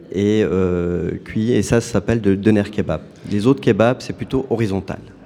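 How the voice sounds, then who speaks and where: Noticeable background noise accompanies a man speaking fairly slowly at a fairly low pitch with ordinary pitch variation. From Turkey. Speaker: food truck owner. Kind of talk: radio interview.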